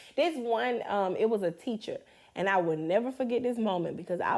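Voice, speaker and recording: Her intonation stays lively throughout. This woman talks at a moderate pace. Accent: slight Southern US. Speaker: podcast co-host. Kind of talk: casual chat.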